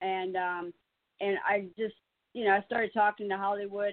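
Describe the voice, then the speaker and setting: An unremarkable speaking voice from a woman with an American accent and a medium pitch. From South Carolina. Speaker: caller. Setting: phone call.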